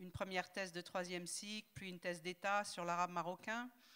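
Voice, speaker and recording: Her tone is bright and sharp. The woman's pitch is medium, and her pace is moderate. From southern France, Toulouse. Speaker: linguist and translator. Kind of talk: panel discussion.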